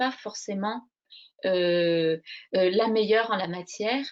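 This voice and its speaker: A soft-spoken woman talks at a very slow pace. Her pitch varies in an ordinary way. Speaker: crochet workshop leader. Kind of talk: interview. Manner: hesitant, many fillers; slow, soft.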